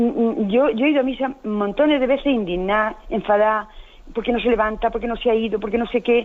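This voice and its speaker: This woman's voice rides fairly high, with pitch varying in an ordinary way. Her delivery is at a fairly quick clip. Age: 60s. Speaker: caller. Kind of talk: phone-in call. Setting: phone call. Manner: halting.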